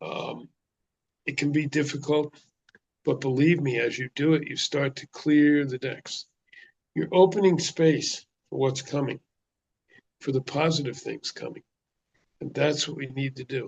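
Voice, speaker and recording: A man's somewhat breathy, fairly high-pitched voice at a fairly slow pace, with fairly even intonation, big swings in loudness and long, frequent pauses, in a dry, close sound with no echo. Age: 70s. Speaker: traditional healer and spiritual speaker. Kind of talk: spiritual talk. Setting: video call.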